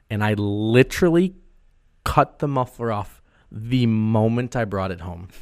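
In a very clean recording with a silent background, the speaker has a normal speaking voice and an American accent. The pace is fairly slow, with lively intonation and big swings in loudness. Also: man, medium pitch for a man. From Wisconsin. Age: 20s. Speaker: podcast host. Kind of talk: casual chat. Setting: studio.

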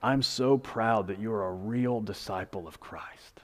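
Putting on a character voice, a man talks fairly slowly at a medium pitch with ordinary pitch variation. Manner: warm and affirming.

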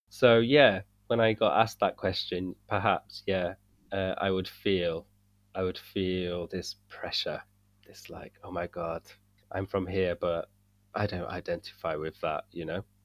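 A man with a very deep, low pitch, fairly slow in pace, with fairly even intonation and big swings in loudness, over a quiet background. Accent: British. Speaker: English teacher and coach. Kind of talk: casual conversation.

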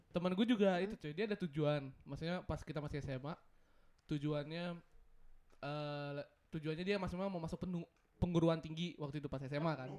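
Speaking at a fairly quick pace yet with long, frequent pauses, a man uses a fairly high pitch with ordinary pitch variation. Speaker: podcast co-host. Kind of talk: casual chat.

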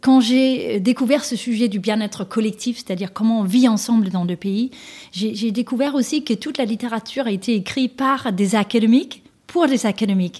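With a dark, mellow tone and a somewhat breathy quality, a woman speaks at a moderate pace with ordinary pitch variation. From Denmark. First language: Danish (speaking French). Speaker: author and executive coach. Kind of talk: interview. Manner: hesitant, many fillers.

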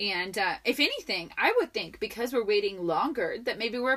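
Through noticeable background noise, a woman with a high pitch speaks in an animated tone with lively intonation at a fairly quick pace. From Colombia. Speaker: podcast co-host. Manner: animated, excitable.

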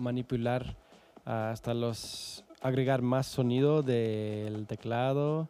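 This is a man speaking. He has a Canadian accent. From Calgary, Canada. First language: English (speaking Spanish). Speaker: musician and producer. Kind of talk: casual interview. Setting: studio. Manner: formal.

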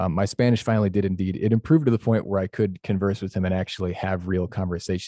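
A man with an American accent, fairly low pitch, ordinary pitch variation and a very fast pace, over a quiet background. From Chicago, US Midwest. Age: 20s. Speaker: gap year program worker.

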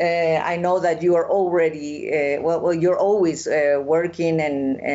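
A woman with a Spanish accent, very deep and low in pitch, with fairly even intonation and a very slow pace. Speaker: festival interviewer. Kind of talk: interview conversation. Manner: halting.

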